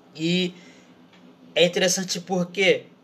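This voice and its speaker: This man has a high-pitched voice. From Brazil. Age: 20s. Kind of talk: casual sermon.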